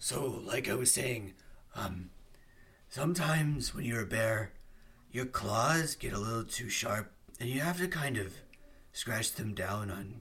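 A man puts on a character voice at a medium pitch. He talks at a fairly slow pace with long, frequent pauses. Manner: casual, irritated.

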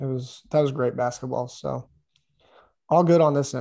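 A man speaks with an American accent. His pitch is medium and his pace moderate. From Oklahoma. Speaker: podcast co-host. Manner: casual, relaxed.

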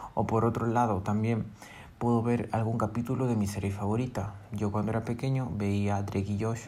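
A dark, mellow, somewhat breathy tone in monotone, flat intonation, with audible room echo. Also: man. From Peru. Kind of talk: motivational monologue.

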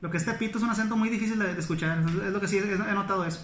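Over noticeable background noise and audible room echo, a man with a northern Mexican accent speaks at a very fast pace. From northern Mexico, Monclova, Coahuila. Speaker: historian. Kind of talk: casual interview chat.

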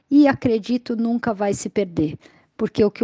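Against a quiet background, a woman speaks at a moderate pace in a dark, mellow tone, the sound dry and close with no echo. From São Paulo, Brazil. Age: 40s. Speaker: community storyteller. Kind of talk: testimony.

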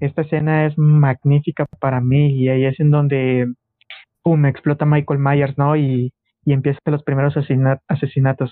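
A man with a Mexican accent talks at a moderate pace in a fairly high pitch, his intonation flat and monotone and his loudness very even. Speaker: film podcast guest. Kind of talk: casual chat.

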